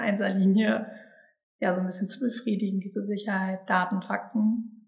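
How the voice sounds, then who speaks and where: This woman's voice sits at a medium pitch and is somewhat breathy. Her intonation stays monotone and flat. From Sauerland, Germany. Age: 20s. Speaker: human design coaching team member. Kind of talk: casual interview chat. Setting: recorded together in a house by the forest.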